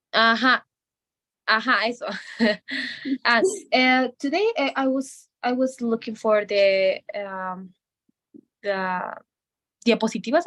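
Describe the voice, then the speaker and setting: Very slowly and with long, frequent pauses, a woman with a Bolivian accent speaks in a fairly high voice with a bright, sharp tone. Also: ordinary pitch variation. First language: Spanish. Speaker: medical student. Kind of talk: language lesson conversation. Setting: video call. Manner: halting. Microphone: bad internet connection, freezing.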